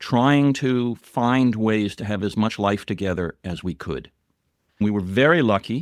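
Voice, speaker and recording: A plain, everyday voice: a man with an American accent at medium pitch with ordinary pitch variation, in a dry, close sound with no echo and a very clean recording with a silent background. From US Northeast, New York City. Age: 60s. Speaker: writer and filmmaker. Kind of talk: podcast interview, personal story.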